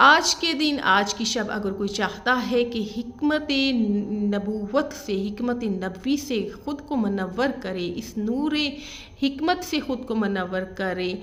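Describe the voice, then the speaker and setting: Audible room echo surrounds a woman who speaks with lively intonation at a fairly high pitch. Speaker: religious speaker. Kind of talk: religious lecture. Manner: calm.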